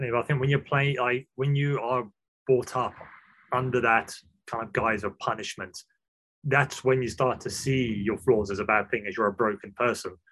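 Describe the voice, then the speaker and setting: Delivered at a moderate pace, an unremarkable speaking voice carries fairly even intonation. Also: man, medium pitch for a man. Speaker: podcast host. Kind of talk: podcast interview.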